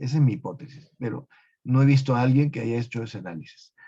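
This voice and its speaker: A man talks at a medium pitch in a dark, mellow tone. His voice is somewhat breathy. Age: 70s. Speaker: medical researcher. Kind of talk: webinar Q&A. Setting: live webinar.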